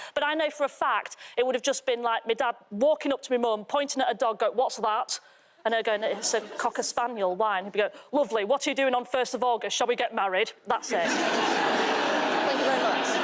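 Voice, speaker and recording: The voice keeps a very even loudness while moving at a fairly quick pace. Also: woman, high pitch for a woman, ordinary pitch variation. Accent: northern English. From Yorkshire, northern England. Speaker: comedian. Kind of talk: stand-up.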